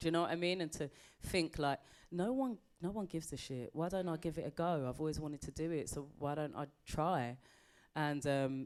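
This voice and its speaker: Her voice is fairly low in pitch for a woman, and she speaks at a moderate pace. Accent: British. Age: 40s. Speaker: comedian. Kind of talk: interview.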